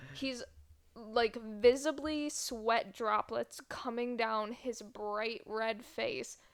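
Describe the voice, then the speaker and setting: Speech moves at a very slow pace. The pitch varies in an ordinary way. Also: woman, fairly high pitch for a woman. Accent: American. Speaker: podcast co-host. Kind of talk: casual chat.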